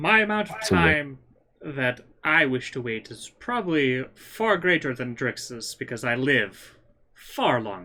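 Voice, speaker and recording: Fairly slow delivery in a put-on character voice. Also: man, medium pitch for a man. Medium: actual play. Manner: formal, measured.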